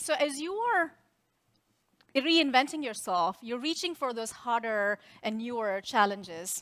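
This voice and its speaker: Bright and sharp in tone, a woman with a non-native accent speaks at a high pitch with very wide pitch swings. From India. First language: Indian language. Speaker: tech executive. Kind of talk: keynote speech. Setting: stage with audience.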